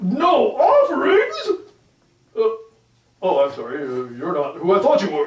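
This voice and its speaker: With slight echo, a fairly high-pitched put-on character voice speaks with long, frequent pauses. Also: moderate pace. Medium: read story. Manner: hesitant, stammering.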